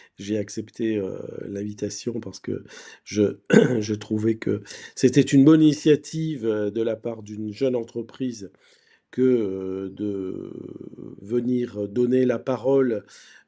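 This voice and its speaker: Very slow speech in a dark, mellow tone comes with long, frequent pauses, ordinary pitch variation and a quiet background. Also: man, medium pitch for a man. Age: 60s. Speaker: university professor and researcher. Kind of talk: conference talk. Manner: hesitant, repeats words.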